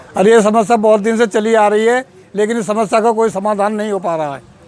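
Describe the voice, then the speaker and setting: The man's pitch is high and his intonation fairly even. Noticeable background noise runs under his speech. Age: 60s. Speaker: villager. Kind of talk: interview testimony.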